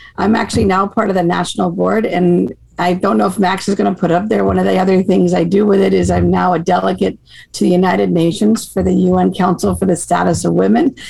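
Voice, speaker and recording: A woman talks at a very fast pace with an American accent. Her loudness stays very even. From Maine, US. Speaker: hockey association director. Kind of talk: casual interview chat.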